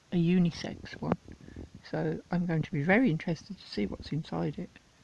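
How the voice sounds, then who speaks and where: Talking at a fairly quick pace, a woman varies her loudness in big swings over noticeable background noise. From English Midlands. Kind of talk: unboxing video talk to camera.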